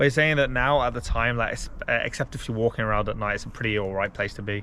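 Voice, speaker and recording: Man with an English accent, very fast pace and a bright, sharp tone. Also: medium pitch for a man, ordinary pitch variation. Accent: English-sounding. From Belgium. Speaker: travel vlogger. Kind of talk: casual travel vlog narration.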